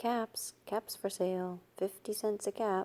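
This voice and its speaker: A put-on character voice, monotone and flat in intonation, at a fairly slow pace. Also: woman. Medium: read story.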